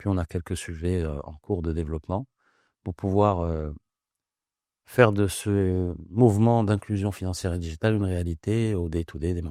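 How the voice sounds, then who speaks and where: A man with a very deep, low voice and a dark, mellow tone speaks at a moderate pace with ordinary pitch variation. The recording is very clean, with a silent background and a dry, close sound with no echo. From Morocco, Casablanca. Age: 40s. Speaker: startup founder. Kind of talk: interview.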